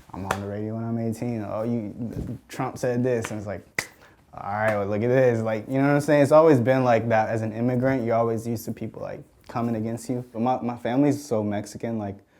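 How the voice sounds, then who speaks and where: A man's medium-pitched voice at a very fast pace, with fairly even intonation and noticeable background noise. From Mexico City, raised in Georgia. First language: Spanish. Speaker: music producer. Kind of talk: casual interview. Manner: casual, filler-heavy.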